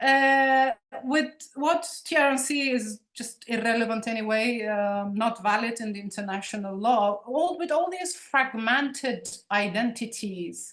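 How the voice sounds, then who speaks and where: Speaking with a Turkish Cypriot accent, a woman uses a fairly high pitch and lively intonation at a fairly slow pace, with audible room echo around her. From Cyprus, Nicosia (Turkish Cypriot). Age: 40s. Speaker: poet and ethnographer. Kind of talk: guest lecture. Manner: halting, many repetitions.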